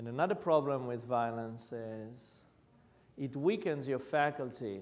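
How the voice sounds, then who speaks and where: A medium-pitched man in an Israeli accent, at a fairly slow pace with ordinary pitch variation and audible room echo. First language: Hebrew. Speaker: violence prevention practitioner. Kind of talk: lecture.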